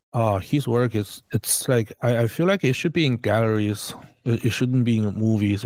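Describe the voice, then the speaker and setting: A man with a Chinese accent talks at a fairly slow pace. The recording is very clean, with a silent background. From China. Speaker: concept artist. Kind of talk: casual chat. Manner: halting.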